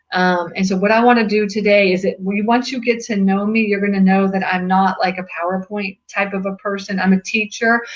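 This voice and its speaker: A woman with a medium pitch, somewhat breathy, fairly quick and monotone, with hardly any pauses. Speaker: real estate investing club organizer. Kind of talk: webinar presentation. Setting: webinar video call. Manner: fast.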